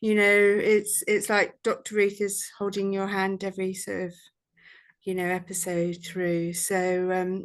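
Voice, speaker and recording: In a British accent, a woman speaks at a medium pitch and a fairly slow pace. Her intonation is monotone and flat, against a quiet background. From UK. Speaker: vet nurse and course student. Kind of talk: testimonial. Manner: hesitant, many fillers.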